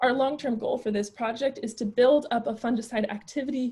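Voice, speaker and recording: A woman with a high pitch speaks in a dark, mellow tone. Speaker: plant disease researcher. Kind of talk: lecture. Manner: fast.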